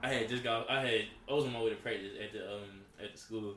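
Through noticeable background noise and audible room echo, a man's voice comes across. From US Northeast, Philadelphia. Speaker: college football player. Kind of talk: casual chat.

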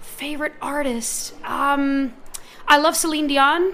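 A woman with a high pitch speaks at a fairly slow pace in a raised, projected voice. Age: 20s. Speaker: singer and songwriter. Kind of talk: interview. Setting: live event at an art gallery.

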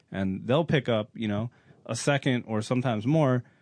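A man speaks in an unremarkable speaking voice at medium pitch. His pace is moderate, with ordinary pitch variation. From US Midwest. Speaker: racing driver and driving coach. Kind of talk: casual chat.

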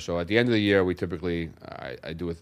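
In a New York accent, a man speaks at a very deep, low pitch with fairly even intonation. The recording is very clean and the background silent. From New York City, Brooklyn. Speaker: real estate investor. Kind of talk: interview. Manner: halting.

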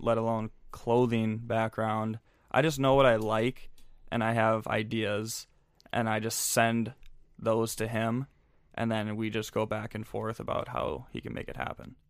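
In a Minnesota accent, a man speaks with monotone, flat intonation on a very clean recording with a silent background. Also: medium pitch for a man, fairly slow pace. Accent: Upper Midwest (Minnesota) American. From Minnesota, Twin Cities. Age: 20s. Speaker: clothing brand founder and social media coordinator. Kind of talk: casual interview chat.

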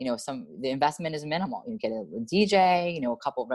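With an American accent, a woman's very deep, low voice shows very wide pitch swings in a dry, close sound with no echo. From New York. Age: 30s. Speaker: gym owner. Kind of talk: interview.

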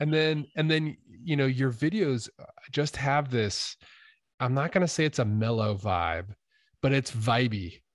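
In a normal speaking voice with an American accent, the speaker goes at a fairly slow pace with lively intonation and very even loudness against a quiet background. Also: man, medium pitch for a man. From US, Idaho. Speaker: podcast host and YouTuber. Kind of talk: casual interview chat.

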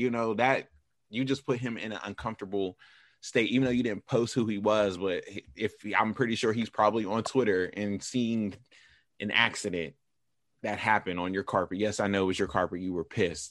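A man talks at a fairly quick pace with an American accent and a fairly low pitch. His tone is animated, and the background is quiet. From western Pennsylvania (Pittsburgh area). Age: 30s. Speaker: podcast host. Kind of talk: casual chat.

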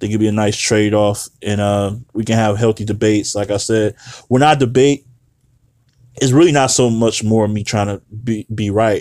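In a very clean recording with a silent background, a man with a plain, everyday voice and a fairly low pitch speaks at a moderate pace with fairly even intonation. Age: 30s. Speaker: battle rap podcast host. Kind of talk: casual solo commentary.

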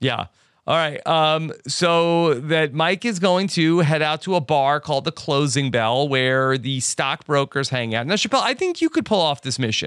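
A man with an ordinary speaking voice, fairly high in pitch, with ordinary pitch variation. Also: moderate pace. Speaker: podcast host. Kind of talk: casual podcast recap.

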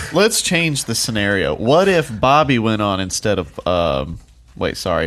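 Over music in the background, a man with a fairly low pitch talks at a moderate pace, his pitch swinging very widely. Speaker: podcast co-host. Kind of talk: casual chat.

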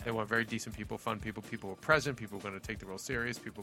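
Music plays in the background as a man talks at a fairly low pitch with fairly even intonation. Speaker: podcast host.

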